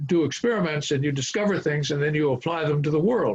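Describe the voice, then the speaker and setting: This man's voice sounds somewhat breathy. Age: 80s+. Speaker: former international banker. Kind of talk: interview. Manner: halting, many filler words; slow.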